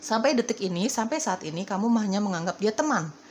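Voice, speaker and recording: Amid noticeable background noise, a woman at medium pitch speaks at a very fast pace. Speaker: tarot reader. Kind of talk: tarot reading. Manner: casual, repetitive.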